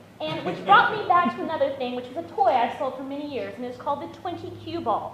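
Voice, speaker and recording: A woman talks fairly quickly, her pitch swinging very widely, with noticeable background noise and audible echo in the room. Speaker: patient advocate speaker. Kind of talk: panel talk. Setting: stage with audience. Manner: loud; animated.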